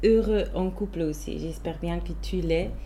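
A woman with a Swiss German accent, audible room echo around her voice. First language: Swiss German (speaking French). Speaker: podcast host. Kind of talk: casual chat.

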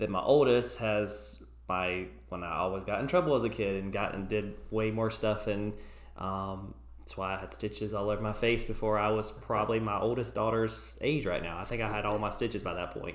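A man speaks at a fairly low pitch with vocal fry and ordinary pitch variation. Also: fairly quick pace. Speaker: podcast co-host. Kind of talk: casual chat.

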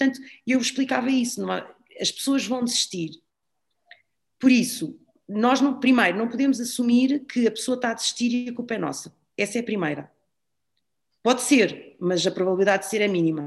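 A woman talks at a high pitch with lively intonation and a fairly quick pace. She takes long, frequent pauses. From Portugal, raised in Lisbon. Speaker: CrossFit gym owner and fitness trainer. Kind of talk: casual interview chat.

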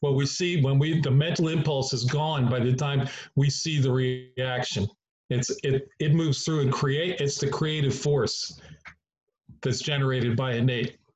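The man's voice is fairly high and somewhat breathy. He keeps a moderate pace and fairly even intonation. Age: 70s. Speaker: chiropractor.

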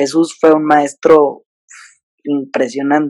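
The recording is dry and close with no echo, carrying a man's fairly high-pitched voice. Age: 20s. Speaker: digital comedian. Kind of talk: casual interview chat. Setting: video call.

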